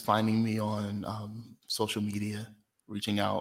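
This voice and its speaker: Someone with an American accent speaks at a fairly slow pace in a very clean recording with a silent background. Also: man. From South Jersey, US. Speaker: founder of a community gathering space, vocal improviser. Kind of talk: casual interview.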